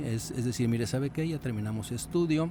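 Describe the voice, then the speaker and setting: In a normal speaking voice, a man of medium pitch talks at a fairly quick pace with lively intonation. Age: 60s. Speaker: radiologist and podcast host. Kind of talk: podcast discussion. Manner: conversational, frequent fillers and repetitions.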